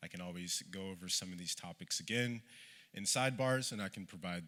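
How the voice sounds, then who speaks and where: A man's very deep, low voice with a bright, sharp tone and an American accent, at a very fast pace, on a very clean recording with a silent background. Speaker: panelist, research director at a humanitarian NGO. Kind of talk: conference presentation read from notes.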